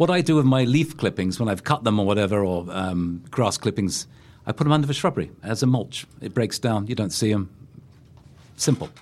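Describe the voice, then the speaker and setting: Here a man with a London accent speaks at a fairly quick pace with lively intonation and a fairly low pitch. The recording is very clean, with a silent background. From England, London. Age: 60s. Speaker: gardening expert and former teacher. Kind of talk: casual chat. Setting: studio.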